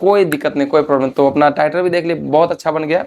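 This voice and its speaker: Fairly high in pitch with ordinary variation, a man talks in a normal speaking voice. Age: 20s. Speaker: folk singer. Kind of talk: interview. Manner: casual, repetitive.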